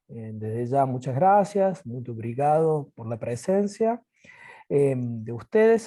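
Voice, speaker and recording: A man's dark, mellow voice, fairly high in pitch, with very wide pitch swings and a very slow pace. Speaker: university physical education lecturer. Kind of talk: video call panel moderation.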